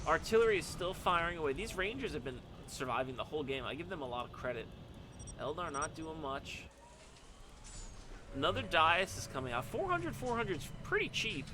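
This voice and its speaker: With an animated tone and lively intonation, a fairly high-pitched man talks at a fairly quick pace, taking long, frequent pauses, in a room with audible echo. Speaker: game commentator and streamer. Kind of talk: live game commentary. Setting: live stream.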